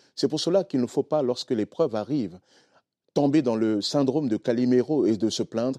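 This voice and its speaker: At a fairly quick pace, a man speaks with a non-native accent, medium pitch, and ordinary pitch variation. His tone is dark and mellow, and the sound is dry and close with no echo. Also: quiet background. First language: not French (speaking French). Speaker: pastor. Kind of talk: sermon-style teaching on a TV talk show. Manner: simple plain speech.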